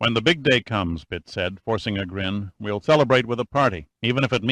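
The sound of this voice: The voice is an unforced reading voice with ordinary pitch variation. The background is quiet.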